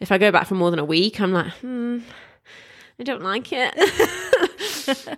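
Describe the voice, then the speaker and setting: With a British accent, the speaker talks at a fairly slow pace, the pitch swinging very widely. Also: woman, fairly high pitch for a woman. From England. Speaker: podcast co-host. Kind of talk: casual chat.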